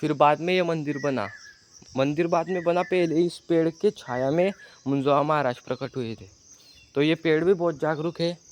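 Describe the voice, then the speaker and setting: With ordinary pitch variation, this man's voice sits fairly high. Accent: Marathi. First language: Marathi (speaking Hindi). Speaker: vlogger. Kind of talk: walking tour vlog narration. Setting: outdoors. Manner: halting.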